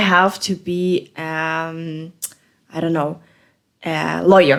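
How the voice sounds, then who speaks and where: This woman has a non-native accent. She speaks at a fairly low pitch. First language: not English. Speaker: podcast co-host. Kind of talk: casual chat. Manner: halting, many fillers.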